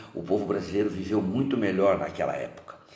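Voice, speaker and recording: Audible room echo surrounds a man with a fairly low pitch. He talks at a fairly quick pace with ordinary pitch variation. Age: 70s. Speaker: football fan giving political testimony. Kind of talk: testimony.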